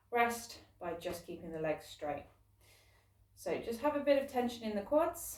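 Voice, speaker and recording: A woman's fairly high voice with very wide pitch swings, big swings in loudness, long, frequent pauses and a moderate pace, over noticeable background noise. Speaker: fitness instructor. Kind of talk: guided workout class. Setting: recording alone, online class.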